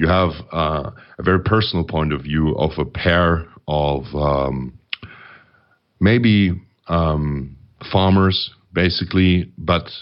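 With a German accent, a man speaks at a very slow pace in a very deep, low pitch, using ordinary pitch variation and long, frequent pauses. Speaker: metal band lyricist. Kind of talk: interview. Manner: halting.

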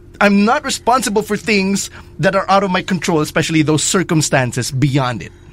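Using lively intonation, a man with a high pitch talks at a fairly quick pace. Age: 20s. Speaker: wrestling podcast host. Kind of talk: casual chat.

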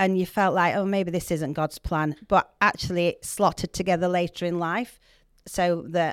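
A woman speaks in a Yorkshire accent with fairly even intonation. The recording is very clean, with a silent background. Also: dry, close sound with no echo. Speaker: podcast guest, church project mentor. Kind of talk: casual, chatty.

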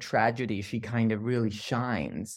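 This man has a Danish accent. He speaks at a fairly slow pace. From Denmark. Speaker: art critic. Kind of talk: interview. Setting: remote call. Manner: halting.

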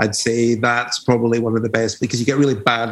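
A man is talking. He speaks with an Edinburgh accent. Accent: Scottish (Edinburgh). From Edinburgh, Scotland. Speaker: DJ and label owner. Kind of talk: casual interview chat.

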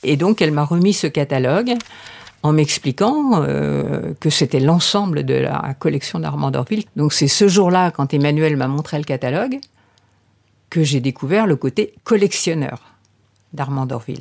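A woman with a very deep, low pitch and vocal fry speaks at a fairly slow pace with lively intonation. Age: 70s. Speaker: heir to an art collection. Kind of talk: interview testimony.

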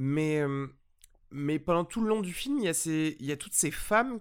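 Fairly high in pitch, a man's voice comes through on a very clean recording with a silent background. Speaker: film podcast host. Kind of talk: casual film review chat.

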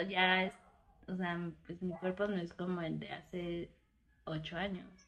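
A woman speaks in an ordinary speaking voice, keeping a moderate pace. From Oaxaca, Mexico. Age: 20s. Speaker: podcast co-host. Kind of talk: casual chat.

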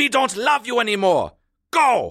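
In a put-on character voice, a man talks at an extremely high pitch with a fairly bright tone, a fairly slow pace and very wide pitch swings.

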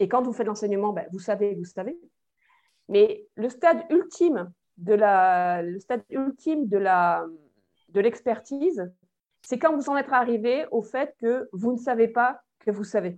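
Speaking at a very slow pace, a woman swings her pitch very widely and leaves long, frequent pauses. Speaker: human resources management consultant and lecturer. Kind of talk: interview. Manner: hesitant, many fillers.

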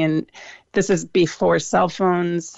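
This woman speaks with an American accent. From US Midwest, Cleveland, Ohio. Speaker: food truck owner. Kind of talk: radio interview.

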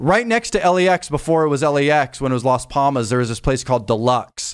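A normal speaking voice with an American accent, lively intonation and a fairly quick pace, in a very clean recording with a silent background. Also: man. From Los Angeles, San Fernando Valley. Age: 40s. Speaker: DJ and music producer. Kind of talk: casual interview chat.

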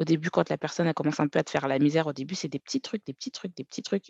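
Dry, close sound with no echo, ordinary pitch variation and a quiet background. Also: woman. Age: 30s. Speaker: account manager and personal finance content creator. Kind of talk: interview.

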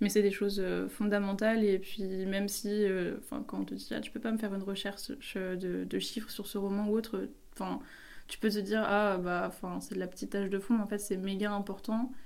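This woman talks at a fairly quick pace, her medium-pitched voice held in a monotone, flat intonation. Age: 20s. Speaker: publishing assistant apprentice. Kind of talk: casual interview.

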